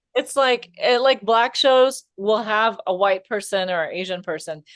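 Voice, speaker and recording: A woman with a plain, everyday voice and an American accent speaks at a fairly high pitch with ordinary pitch variation. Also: fairly slow pace. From US. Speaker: comedian, podcast co-host. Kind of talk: casual chat.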